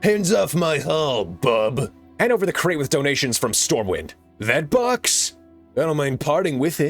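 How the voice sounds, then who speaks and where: Using a put-on character voice, a man talks at a moderate pace with a fairly high pitch while faint music plays in the background. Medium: voice reel.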